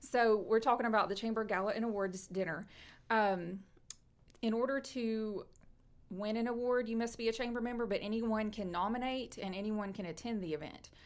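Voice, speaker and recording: With a Tennessee accent, a woman speaks at a fairly high pitch and fairly even intonation. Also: moderate pace. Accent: Southern US (Tennessee). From East Tennessee (Knoxville). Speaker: chamber of commerce director. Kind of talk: casual interview chat. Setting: live video stream.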